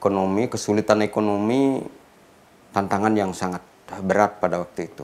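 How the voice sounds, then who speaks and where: A fairly low-pitched man at a fairly quick pace. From Bali, Gianyar; Bali, Indonesia. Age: 60s. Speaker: professor. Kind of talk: interview. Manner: hesitant with fillers. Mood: calm, reflective. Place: studio.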